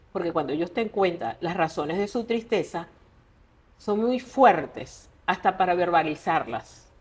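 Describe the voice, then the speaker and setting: In an unremarkable speaking voice, a woman talks at a fairly slow pace with lively intonation. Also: medium pitch for a woman. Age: 60s. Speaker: writer. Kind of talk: interview conversation.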